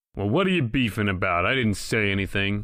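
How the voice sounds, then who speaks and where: Using a put-on character voice, a man talks raspily at a fairly quick pace and a fairly low pitch. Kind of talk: 1940s radio acting. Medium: audio drama. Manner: tough, terse.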